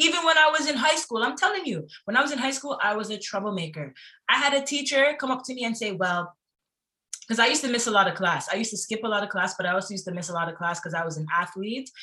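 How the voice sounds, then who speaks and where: The speaker talks at a very fast pace with an animated tone and very wide pitch swings. The tone is bright and sharp, with a Toronto accent. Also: woman. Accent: Toronto Canadian English. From Toronto, Canada. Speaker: singer and former sprinter. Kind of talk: casual interview chat.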